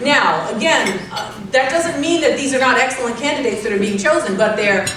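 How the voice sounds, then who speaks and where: With an American accent, a woman speaks in an animated tone at a high pitch, with ordinary pitch variation. Noticeable background noise and audible room echo are present. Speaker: professor. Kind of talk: keynote speech.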